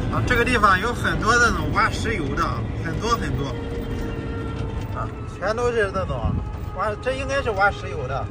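A man speaks at a moderate pace with long, frequent pauses. Loud background noise runs underneath. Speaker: travel vlogger. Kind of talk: casual vlog chat. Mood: worried about battery and slopes. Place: motorbike. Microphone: phone near.

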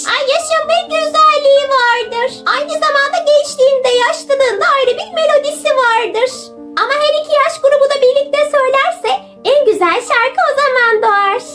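Over clear background music, a woman uses a put-on character voice at an extremely high pitch and a moderate pace. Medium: read story.

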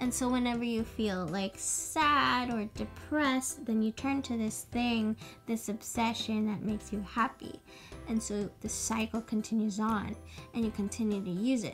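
Faint music plays behind a woman speaking at a moderate pace. Her pitch varies in an ordinary way. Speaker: vlogger. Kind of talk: casual vlog chat.

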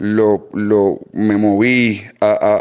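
A man is speaking. The background is quiet. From Puerto Rico. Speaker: mechanic and speed shop owner; podcast guest. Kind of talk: casual chat. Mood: relaxed, nostalgic. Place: garage. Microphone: studio mic.

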